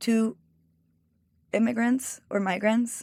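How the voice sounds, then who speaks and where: A woman speaks with a Mexican accent. Her pitch is fairly high. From Mexico. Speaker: cookbook author and food stylist. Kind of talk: interview conversation.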